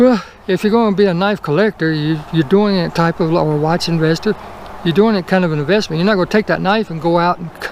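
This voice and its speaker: Speaking very fast with a Southern US accent, a man has a high voice and ordinary pitch variation, with noticeable background noise behind him. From US South. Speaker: toy car collector YouTuber. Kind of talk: casual unboxing video.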